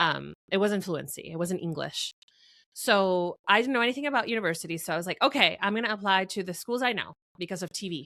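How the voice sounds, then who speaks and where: A woman with a Spanish accent speaks at a very fast pace in a medium pitch with lively intonation and a bright, sharp tone, the sound dry and close with no echo in a very clean recording with a silent background. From Venezuela, then Florida. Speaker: marketing strategist. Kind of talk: interview conversation. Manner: hesitant, many fillers.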